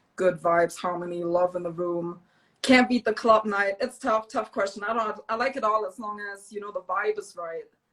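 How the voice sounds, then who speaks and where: At a moderate pace, a woman with a German accent speaks at a medium pitch, her pitch varying in an ordinary way and her loudness swinging widely. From Germany. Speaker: DJ and small business owner. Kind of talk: interview.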